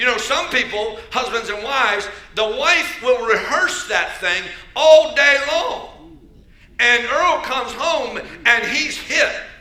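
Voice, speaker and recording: Over noticeable background noise, a man with an American accent projects a raised voice at an extremely high pitch, moving at a very slow pace with lively intonation. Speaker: bishop, church preacher. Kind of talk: sermon delivered to a congregation.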